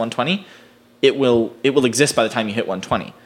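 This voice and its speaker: A man speaks at a moderate pace with an American accent, a plain, everyday voice, medium pitch and fairly even intonation. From US East Coast. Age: 20s. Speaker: screenwriter. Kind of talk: casual chat.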